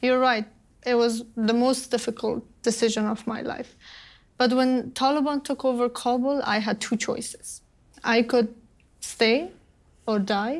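A woman speaks at a high pitch and a fairly slow pace, with long, frequent pauses. Her intonation stays fairly even against a quiet background. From Afghanistan. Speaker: refugee and women's rights advocate; guest. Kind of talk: interview. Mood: earnest, serious. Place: studio.

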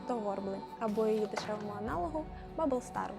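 Music plays behind a woman who talks at a fairly quick pace, her fairly high pitch moving with ordinary variation. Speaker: cosplay prop maker. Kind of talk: craft tutorial narration.

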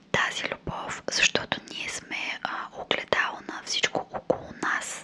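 A woman speaks in a whisper. Her pace is fairly slow. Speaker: video creator. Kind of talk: motivational talk, soft casual. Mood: calm, reflective, gentle. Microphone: studio mic.

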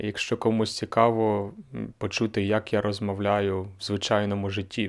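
Against a quiet background, a man with a fairly low pitch speaks at a fairly slow pace. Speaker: language teacher and podcaster; language teacher vlogger. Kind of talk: casual vlog monologue. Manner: slightly monotone. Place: home room. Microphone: handheld.

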